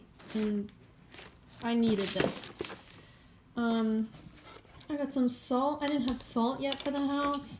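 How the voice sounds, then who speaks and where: Very slow and marked by long, frequent pauses, a woman speaks in a high voice with very even loudness and fairly even intonation. Noticeable background noise is present. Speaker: vlogger. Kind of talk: casual vlog monologue. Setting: walking around city and store, in a car. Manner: rambling with many fillers.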